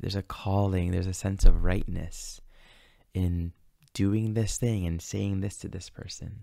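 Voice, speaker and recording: Against a quiet background with a dry, echo-free sound, a man speaks at a fairly low pitch in a dark, mellow, calm, gentle tone. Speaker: astrology teacher and meditation guide. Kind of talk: guided meditation and spiritual teaching. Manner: calm, slow, gentle, reflective. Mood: calm, gentle, reflective. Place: home room. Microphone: studio mic.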